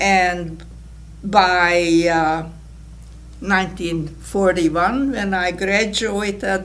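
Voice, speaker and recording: Against audible room echo, a woman with a fairly low pitch speaks at a very slow pace. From Hungarian-speaking Czechoslovakia. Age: 80s+. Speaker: Holocaust survivor. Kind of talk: testimony.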